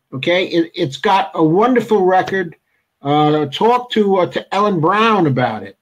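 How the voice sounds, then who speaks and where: Against a quiet background, a man with a high pitch speaks at a moderate pace with lively intonation. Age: 70s. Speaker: political talk show host. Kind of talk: interview. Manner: halting.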